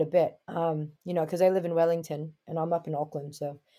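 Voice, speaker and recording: A woman with a New York accent, fairly low-pitched and dark, mellow in tone, flat and monotone at a fairly quick pace, in a very clean recording with a silent background. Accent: New York American. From Brooklyn, New York, US. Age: 20s. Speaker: basketball player and coach. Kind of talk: casual interview.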